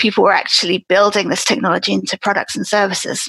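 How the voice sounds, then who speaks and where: Vocal fry runs through this woman's medium-pitched voice. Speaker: speech technology expert. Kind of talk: interview, technical explanation. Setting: remote podcast recording.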